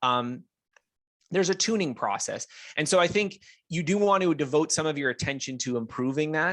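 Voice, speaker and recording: With a Canadian accent, a man in an ordinary speaking voice talks at a moderate pace with ordinary pitch variation on a very clean recording with a silent background. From English Canada. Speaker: author and self-learning expert. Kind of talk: interview.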